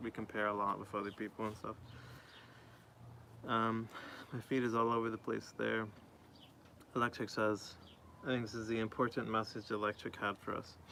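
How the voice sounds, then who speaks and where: A man with an American accent talks at a fairly quick pace, leaving long, frequent pauses. His medium-pitched voice is bright and sharp, in a monotone, flat intonation. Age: 20s. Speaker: streamer. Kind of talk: casual chat. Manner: fast.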